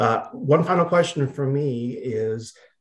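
A somewhat breathy man speaks with lively intonation over a quiet background. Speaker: webinar moderator. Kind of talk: moderated webinar. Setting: video call. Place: home room. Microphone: video call.

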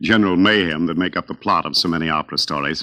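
A man's very deep, low voice with a bright, sharp tone and an American accent, at a fairly quick pace over a quiet background. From United States. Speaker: opera singer and radio host. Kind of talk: radio program hosting. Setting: radio broadcast. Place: studio.

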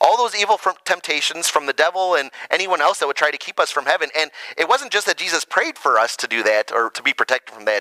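Over a quiet background, a man talks at a fairly quick pace in a dry sound with no echo. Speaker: pastor. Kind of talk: children's sermon. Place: church.

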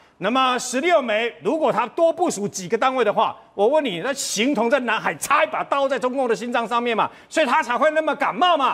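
Lively intonation runs through this man's speech. His pitch is extremely high. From Taiwan. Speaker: military commentator. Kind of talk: TV talk show panel discussion. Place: studio.

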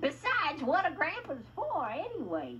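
This cartoonish character voice has a bright, sharp tone, very wide pitch swings and a fairly slow pace.

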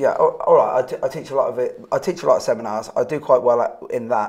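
A man's fairly quick speech comes through over a quiet background. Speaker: show host. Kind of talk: interview conversation. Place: home room.

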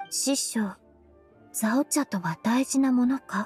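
In a put-on character voice, a woman speaks slowly at a fairly high pitch with a husky, rough edge and a slightly mellow tone, the sound dry and close with no echo and faint music in the background. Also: ordinary pitch variation.

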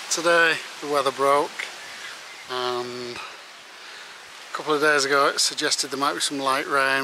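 Over noticeable background noise, a man speaks at a fairly slow pace in a monotone, flat intonation, with a dry sound and no echo. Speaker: hiker vlogger. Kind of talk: casual vlog chat. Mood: cheerful, chatty. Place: open country. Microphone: phone near.

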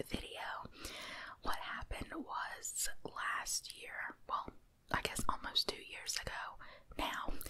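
Soft-spoken and whispering, a woman speaks at a very slow pace with light background noise. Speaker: ASMR content creator. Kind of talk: casual channel update chat. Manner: soft close-mic whisper. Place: home room. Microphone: studio mic.

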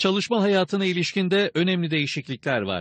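Fairly quick speech from a man, dry and close with no echo, against a quiet background. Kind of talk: news reading. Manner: formal, brisk broadcast-news delivery, even and authoritative.

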